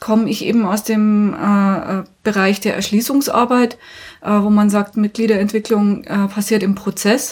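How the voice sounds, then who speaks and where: A woman's fairly high, somewhat breathy voice. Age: 40s. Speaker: union trainer. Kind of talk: interview.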